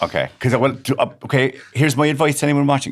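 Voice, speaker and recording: On a very clean recording with a silent background, a man with an Irish accent speaks at a very fast pace in a medium pitch with vocal fry. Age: 50s. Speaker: comedian. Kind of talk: casual chat.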